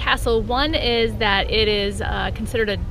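A woman at a moderate pace, a dry sound with no echo, and noticeable background noise. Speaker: family travel vlogger. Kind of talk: casual vlog chat. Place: open country. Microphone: phone near.

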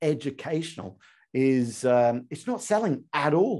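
A man's dark, mellow tone carries lively intonation over a quiet background. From Australia. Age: 40s. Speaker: sales trainer and podcast host. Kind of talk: interview podcast. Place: studio.

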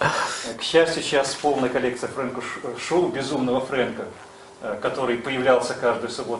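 Heard with light background noise and audible room echo, a man of medium pitch talks at a moderate pace with ordinary pitch variation. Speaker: conference organizer and publisher. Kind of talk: speech introduction. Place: meeting room. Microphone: camera far.

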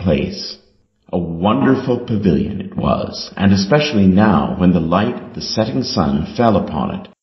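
The clip has a natural reading voice against a quiet background.

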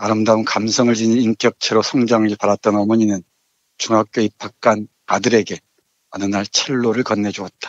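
A man talks with a fairly low pitch. His intonation is monotone and flat. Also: moderate pace. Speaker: literature professor. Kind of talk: book review discussion, reading aloud. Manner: subdued, somber.

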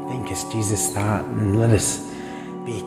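Speech moves at a moderate pace while clear music plays behind it. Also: man. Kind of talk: prayer. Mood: warm, earnest, prayerful. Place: street. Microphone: phone near.

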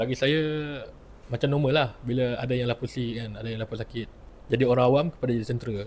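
A man rushes along at a very fast pace, somewhat breathy, with fairly even intonation. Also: medium pitch for a man. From Penang, Malaysia. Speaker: lawyer, former naval cadet. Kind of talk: testimony.

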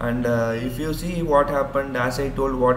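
Noticeable background noise runs through the clip. A man speaks at a moderate speed. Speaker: educator. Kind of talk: tutorial. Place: home room. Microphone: webcam.

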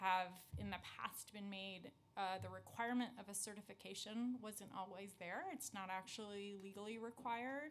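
A woman at medium pitch with fairly even intonation and a fairly slow pace, a plain, everyday voice, over light background noise. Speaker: city immigrant affairs commissioner. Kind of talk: testimony. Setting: council hearing room. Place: meeting room. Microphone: podium.

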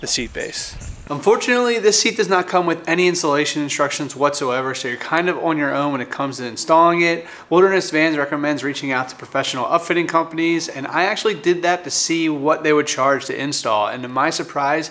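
Hardly pausing at all, a man talks at a very fast pace. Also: ordinary pitch variation. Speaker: van build vlogger. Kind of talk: casual vlog chat. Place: garage.

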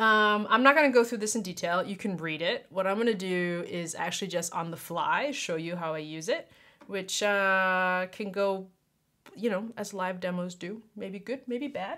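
A woman's bright, sharp voice at a moderate pace, with ordinary pitch variation and a quiet background. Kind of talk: casual tutorial talk. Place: home room.

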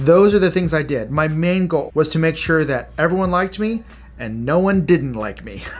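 Over faint music in the background, a man speaks in a fairly high voice with lively intonation. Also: moderate pace. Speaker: youth pastor. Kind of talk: devotional teaching. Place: home room.

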